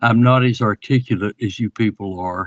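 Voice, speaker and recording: At a moderate pace, a man talks in a medium pitch, the sound dry and close with no echo over a quiet background. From US South, rural Alabama. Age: 80s+. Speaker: alleged alien abductee. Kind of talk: interview testimony. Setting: online audio space. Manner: halting, many repetitions.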